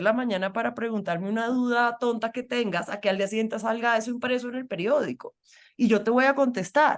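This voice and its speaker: Talking at a very fast pace, a woman with a Colombian accent has a fairly high pitch and ordinary pitch variation. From Colombian Caribbean, Barranquilla. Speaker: feminist journalist and activist. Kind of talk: interview conversation.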